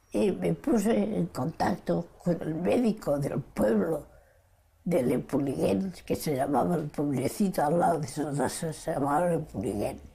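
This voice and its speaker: The voice moves at a fairly slow pace with very wide pitch swings. Vocal fry is present throughout. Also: woman, very deep, low pitch for a woman. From Spain. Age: 80s+. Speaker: Spanish Civil War exile and Stalingrad survivor. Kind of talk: interview answer.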